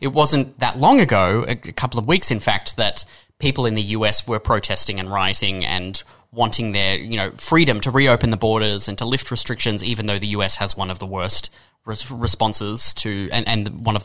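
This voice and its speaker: A man with an Australian accent speaks at a fairly low pitch and a moderate pace, with ordinary pitch variation. His tone is bright and sharp in a very clean recording with a silent background. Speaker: radio presenter. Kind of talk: radio discussion. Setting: radio studio.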